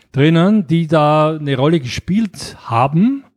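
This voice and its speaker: The speaker is a man whose voice sits high for a man. His intonation rises and falls in a lively way. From Austria, Graz. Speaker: board game publisher. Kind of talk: casual interview. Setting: Mallorca. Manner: halting, many fillers.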